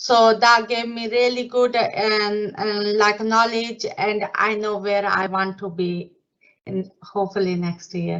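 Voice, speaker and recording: At a fairly slow pace, a woman with a non-native accent speaks in a fairly high voice with fairly even intonation. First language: not English. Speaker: nursing associate. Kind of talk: career testimony. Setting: live online event. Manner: halting, many fillers.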